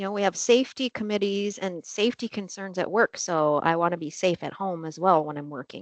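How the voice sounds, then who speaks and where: A woman's medium-pitched voice at a fairly quick pace with hardly any pauses and big swings in loudness, in a dry, close sound with no echo and a quiet background. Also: ordinary pitch variation. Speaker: webcast co-host. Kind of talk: casual chat. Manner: fast.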